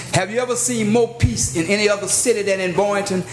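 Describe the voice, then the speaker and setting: In an American accent, a high-pitched man talks at a fairly quick pace in an animated tone, with audible room echo and noticeable background noise. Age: 60s. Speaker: clergyman speaking at public comment. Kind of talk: public comment at city meeting. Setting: city commission chambers.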